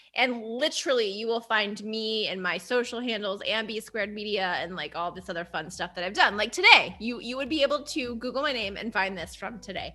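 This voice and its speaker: A woman with a fairly high pitch and lively intonation at a fairly quick pace, hardly any pauses, over noticeable background noise. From Texas, Houston. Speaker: marketing agency founder. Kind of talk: podcast interview. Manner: animated.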